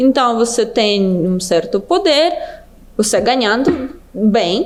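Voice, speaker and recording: A speaker with a Russian accent talks at a very slow pace, with very wide pitch swings. Noticeable background noise runs underneath. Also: woman, fairly high pitch for a woman. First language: Russian (speaking Portuguese). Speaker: business development manager. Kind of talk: podcast interview.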